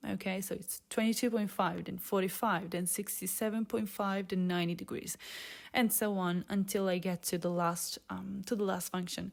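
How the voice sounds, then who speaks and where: On a very clean recording with a silent background, a woman with a non-native accent speaks at a moderate pace in a medium-pitched, monotone voice with flat intonation. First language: not English. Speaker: software developer, tutorial maker. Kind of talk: coding tutorial. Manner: casual, with frequent fillers.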